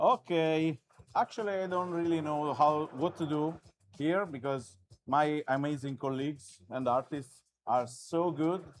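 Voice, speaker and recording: A man with a non-native accent speaks at a fairly slow pace in a fairly high pitch, with ordinary pitch variation. The recording is very clean and the background silent. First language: not English. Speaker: artist. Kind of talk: live commentary while drawing. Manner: halting.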